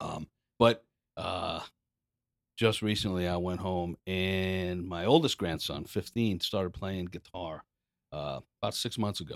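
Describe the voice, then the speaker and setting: In a very clean, dry, close recording with a silent background and no echo, a man with an American accent speaks fairly slowly in a very deep, low voice, using ordinary pitch variation and long, frequent pauses. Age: 60s. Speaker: corporate audio engineer and former Army musician. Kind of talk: casual interview chat.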